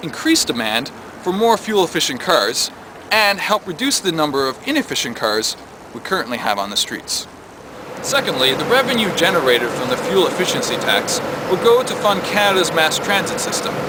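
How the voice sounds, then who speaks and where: A high-pitched male voice with very wide pitch swings at a moderate pace, over noticeable background noise. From Newfoundland, Canada. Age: 20s. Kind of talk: policy pitch narration.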